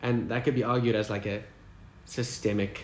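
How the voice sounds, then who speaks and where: This man talks at a fairly low pitch with fairly even intonation. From Durban, South Africa. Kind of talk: interview answer. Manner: hesitant.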